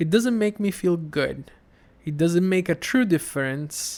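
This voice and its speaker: In a very clean recording with a silent background, a man with an Italian accent speaks fairly slowly at a fairly high pitch, with ordinary pitch variation. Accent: Italian accent, noticeable. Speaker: podcaster and former comedy correspondent. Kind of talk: casual interview chat. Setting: podcast interview. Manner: halting, many fillers and restarts.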